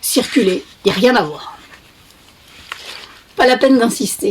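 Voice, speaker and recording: A woman speaks at a fairly slow pace with a fairly high pitch and ordinary pitch variation. Noticeable background noise runs behind her. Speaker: author reading own book. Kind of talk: children's book reading.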